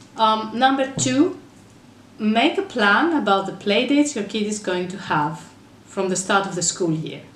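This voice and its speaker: With a Greek accent, a woman talks at a moderate pace while her pitch swings very widely. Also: medium pitch for a woman. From Greece. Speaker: mother, parenting blogger. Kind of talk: casual talk to camera.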